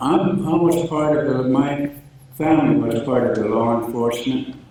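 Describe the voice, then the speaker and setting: Over noticeable background noise and audible room echo, a man with an American accent speaks at a moderate pace and a fairly high pitch, with ordinary pitch variation. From Blackfeet Nation, Montana. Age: 90s. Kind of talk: ceremonial speech. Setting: memorial ceremony in expo center.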